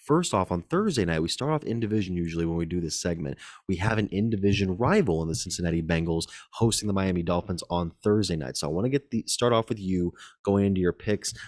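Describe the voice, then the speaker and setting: A man talks very fast in a very deep, low voice. The recording is very clean with a silent background and a dry, close sound without echo. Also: ordinary pitch variation. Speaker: sports podcast host. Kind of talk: casual sports chat. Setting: public space. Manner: quiet, low-key.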